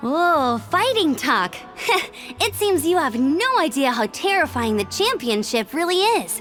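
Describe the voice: A woman's put-on character voice, high-pitched and fairly bright in tone, with big pitch swings at a fairly slow pace over faint background music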